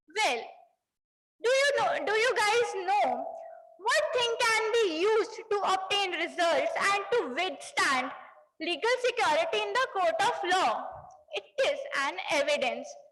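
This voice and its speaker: An extremely high-pitched woman at a fairly slow pace, with very wide pitch swings, very even loudness, long, frequent pauses, and audible room echo. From Punjab, India. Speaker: CA student speaker. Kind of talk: conference speech. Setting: stage with audience. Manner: formal.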